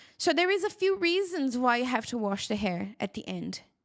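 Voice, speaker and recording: Recorded dry and close with no echo, a woman with a Brazilian accent speaks at a moderate pace in a high pitch that swings very widely. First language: Portuguese. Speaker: hair care educator and product seller. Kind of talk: live-stream tutorial with Q&A. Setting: live stream.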